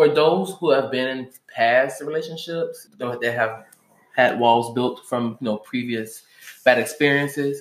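With an unremarkable speaking voice, a man talks fairly slowly at medium pitch with ordinary pitch variation. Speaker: podcast host. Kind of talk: casual chat.

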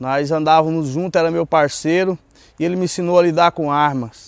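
A man's fairly high, plain, everyday voice at a moderate pace with fairly even intonation, dry and close with no echo. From Goiás, central-west Brazil. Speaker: former drug addict and ex-prisoner in a recovery ministry. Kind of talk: personal testimony.

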